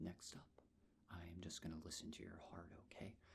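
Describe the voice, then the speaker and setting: A man whispers. He goes at a moderate pace. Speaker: ASMR creator playing a nurse. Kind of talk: ASMR medical roleplay, soft-spoken personal attention. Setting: close-mic studio recording. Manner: soft-spoken, gentle, calming.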